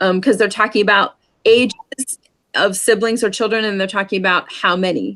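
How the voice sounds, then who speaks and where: A woman with a plain, everyday voice talks at a moderate pace, fairly high in pitch with ordinary pitch variation. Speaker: sign language teacher. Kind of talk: lesson.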